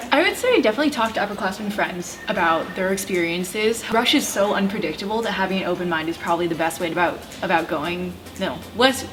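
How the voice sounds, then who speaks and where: Music plays in the background as a woman speaks at a medium pitch with lively intonation. She talks at a very fast pace with hardly any pauses, and the room echo is audible. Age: young. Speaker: college student and YouTuber. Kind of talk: casual chat.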